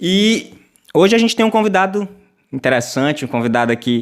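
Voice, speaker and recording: A man at a moderate pace with lively intonation. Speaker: web show host. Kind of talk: interview.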